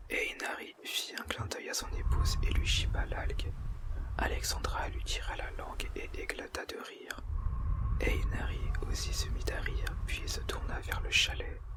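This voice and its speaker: Soft-spoken and whispering, the voice moves at a fairly slow pace against noticeable background noise. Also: man. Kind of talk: whispered audiobook reading. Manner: whispered, soft, slow.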